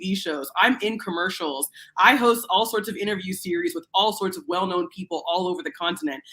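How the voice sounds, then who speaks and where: An animated woman's voice, bright and sharp in tone, medium in pitch, at a fairly quick pace. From USA. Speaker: TV host and panel guest. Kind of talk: panel discussion.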